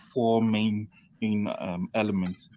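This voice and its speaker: A man with a dark, mellow tone speaks at a fairly slow pace and a medium pitch. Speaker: panel guest. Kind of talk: panel discussion. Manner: halting, many fillers; mumbling.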